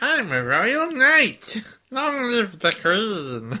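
Put-on character voice at a fairly high pitch, very wide pitch swings, very slow pace. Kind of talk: English dub delivery. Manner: earnest heroic dub voice.

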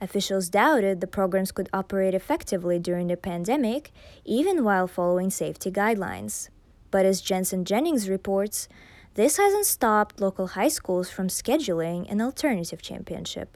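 With an ordinary speaking voice, a woman talks at a fairly quick pace and medium pitch, with ordinary pitch variation. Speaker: news anchor. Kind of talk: formal newsreading. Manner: formal, crisp newsreader delivery.

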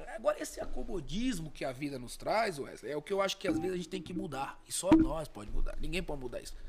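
A man at a very fast pace with hardly any pauses. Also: big swings in loudness. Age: 30s. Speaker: lawyer and businessman. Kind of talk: casual chat. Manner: halting, repeats words.

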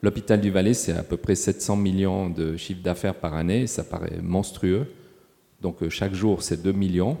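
Very deep, low male voice, fairly slow in pace, with ordinary rise and fall in pitch. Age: 60s. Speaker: hospital sustainability manager. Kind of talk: panel discussion. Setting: stage with audience.

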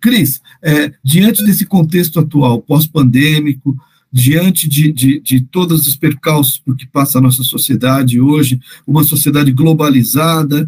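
A man's somewhat breathy voice, fairly high in pitch, comes at a fairly slow pace in a dry, close sound with no echo. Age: 50s. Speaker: podcast host on parenting education. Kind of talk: interview. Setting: podcast. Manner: hesitant, repeats words.

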